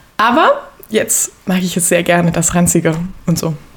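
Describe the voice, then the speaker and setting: Noticeable background noise runs under the voice. Its intonation is fairly even. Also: woman. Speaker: podcast guest. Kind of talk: casual interview about faith and life.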